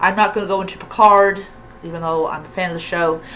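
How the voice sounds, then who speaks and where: The speaker is a woman at medium pitch. Background noise is noticeable. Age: 40s. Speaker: YouTuber, pagan commentator. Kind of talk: casual rant. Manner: halting, many fillers.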